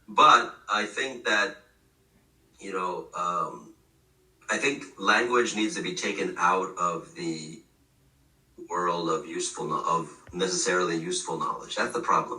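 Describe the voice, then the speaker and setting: There is noticeable background noise as a man speaks. He moves at a fairly slow pace with long, frequent pauses. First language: Gujarati. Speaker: professor. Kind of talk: casual chat. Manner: halting, many fillers and restarts.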